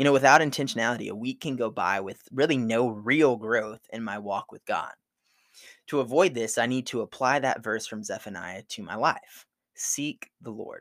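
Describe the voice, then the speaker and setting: A man speaks at a moderate pace in a normal speaking voice, with medium pitch and ordinary pitch variation. The recording is very clean, with a silent background. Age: 20s. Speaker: seminary student and ministry speaker. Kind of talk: devotional talk. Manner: casual, frequent laughs.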